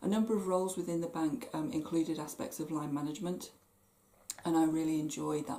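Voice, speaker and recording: In a West Country accent, a woman with a very deep, low pitch and a dark, mellow tone speaks at a fairly quick pace. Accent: West Country twang. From southwest England, Plymouth. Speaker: stress management coach. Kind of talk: talk to camera.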